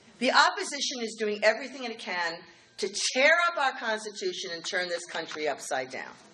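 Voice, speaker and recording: An animated voice races at a fairly quick pace with very wide pitch swings and big swings in loudness, over noticeable background noise. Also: woman, fairly high pitch for a woman. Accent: American. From New York City, Queens. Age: 60s. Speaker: political organization president. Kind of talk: speech. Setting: dinner event with audience.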